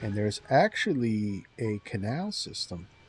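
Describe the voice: Someone with an American accent speaks over music in the background. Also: man.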